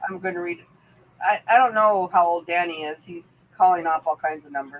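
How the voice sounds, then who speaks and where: A woman with a Pittsburgh accent speaks at a fairly quick pace, her fairly low voice showing ordinary pitch variation and big swings in loudness. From Pittsburgh, US. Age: 50s. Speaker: livestream talk show host. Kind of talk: casual chat.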